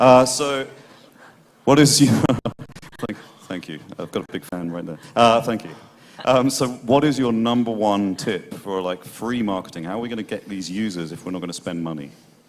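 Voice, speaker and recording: With a British accent, a man speaks at a fairly low pitch with lively intonation. There are big swings in loudness and long, frequent pauses. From Britain. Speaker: panel moderator. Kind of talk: panel discussion. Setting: stage with audience. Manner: fast.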